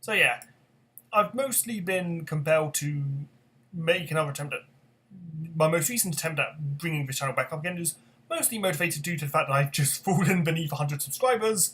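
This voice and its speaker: Speaking at a fairly quick pace yet with long, frequent pauses, a man uses a fairly high pitch, ordinary pitch variation and a bright, sharp tone. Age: 20s. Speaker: gaming YouTuber. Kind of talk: casual vlog monologue. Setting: talking to camera at home. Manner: halting, stuttering; unscripted, rambling hesitations.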